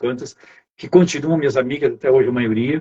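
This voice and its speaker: Somewhat breathy speech comes at a very fast pace. The sound is dry and close, with no echo. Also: man. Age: 70s. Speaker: human development coach. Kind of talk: testimony.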